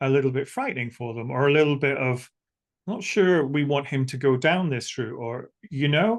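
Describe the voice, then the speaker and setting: Against a quiet background, a man's fairly high voice moves with ordinary pitch variation. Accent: Scottish. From Scotland. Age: 60s. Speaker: spiritual teacher and psychic medium. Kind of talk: interview. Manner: halting.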